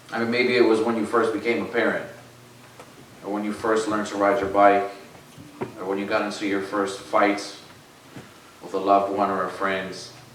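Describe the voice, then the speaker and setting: A man with a fairly low pitch speaks in a monotone, flat way, leaving long, frequent pauses, amid noticeable background noise and audible room echo. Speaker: lay preacher. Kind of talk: sermon. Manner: loud.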